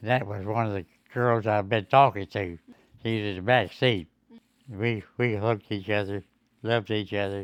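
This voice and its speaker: The speaker, with a Southern US accent, uses fairly even intonation and takes long, frequent pauses. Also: man, fairly low pitch for a man, moderate pace. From Mississippi, USA. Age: 80s+. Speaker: WWII veteran. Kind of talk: interview answer.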